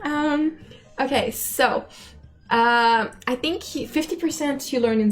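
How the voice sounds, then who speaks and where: With music playing in the background, a woman talks using ordinary pitch variation. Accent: Quebec. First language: French. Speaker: game animator. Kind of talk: casual chat. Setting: live stream. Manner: halting.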